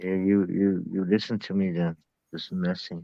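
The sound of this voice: A man with an Irish accent speaks at a moderate pace, low-pitched with vocal fry and a dark, mellow tone. There is little pitch movement, and the sound is dry and close with no echo.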